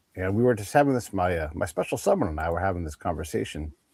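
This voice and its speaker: A man with a very deep, low pitch speaks with lively intonation and a somewhat breathy sound. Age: 50s. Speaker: podcast co-host. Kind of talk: casual interview conversation.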